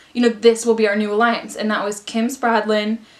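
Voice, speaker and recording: With noticeable background noise behind her, a woman speaks fairly quickly at a fairly high pitch in an animated tone. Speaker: youtuber. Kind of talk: casual chat. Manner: fast.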